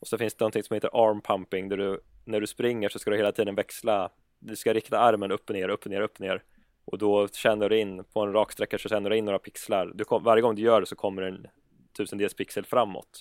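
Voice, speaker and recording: A man talks at a very fast pace with a fairly low pitch and monotone, flat intonation. The recording is very clean, dry and close, with no echo and a silent background. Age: 30s. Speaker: gaming YouTuber. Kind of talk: casual chat.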